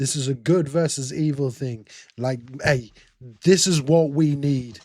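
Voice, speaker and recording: A man speaks with an English accent at a fairly slow pace. His intonation stays fairly even. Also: fairly high pitch for a man. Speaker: reaction video creator. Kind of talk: casual reaction commentary.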